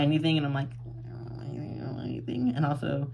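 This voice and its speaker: Over noticeable background noise, a man with an American accent talks at a medium pitch. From Florida, St. Augustine. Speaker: plant YouTuber. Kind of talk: casual vlog monologue. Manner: rambling, hesitant with many ums.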